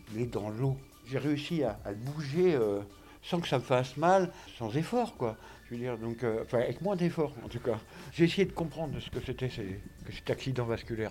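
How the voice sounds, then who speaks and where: The intonation is lively and the pace moderate. Speech flows with plenty of pitch movement. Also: man, medium pitch for a man. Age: 50s. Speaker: stroke patient. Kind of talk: testimony. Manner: halting.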